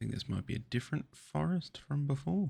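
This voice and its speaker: Soft-spoken and somewhat breathy, a man talks at a fairly slow pace in a medium pitch with very wide pitch swings. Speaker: trading card unboxer. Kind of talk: ASMR card opening.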